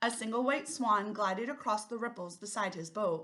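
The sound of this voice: An unforced reading voice is heard here.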